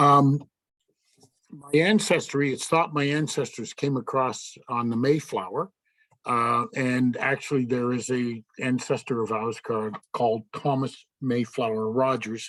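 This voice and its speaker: Words come at a fairly slow pace. The pitch shifts in an ordinary way. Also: man, medium pitch for a man. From Canada, Nova Scotia (Yarmouth). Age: 60s. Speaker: service club member. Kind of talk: personal talk to club. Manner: casual, halting with fillers.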